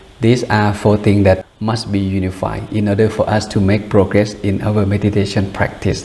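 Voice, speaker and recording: There is noticeable background noise in this clip. The speaker is a man with a fairly low pitch. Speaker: buddhist monk meditation teacher. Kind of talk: dharma talk before guided meditation. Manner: fast.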